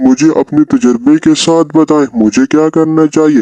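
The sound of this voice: A man does a cartoonish character voice at a fairly high pitch. His loudness stays very even, and the sound is dry and close with no echo. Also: moderate pace, ordinary pitch variation.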